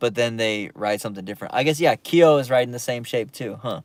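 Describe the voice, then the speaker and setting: This is a man speaking at a medium pitch. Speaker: skateboarding livestreamer. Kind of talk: livestream chat reading viewer comments. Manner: casual, hesitant with fillers.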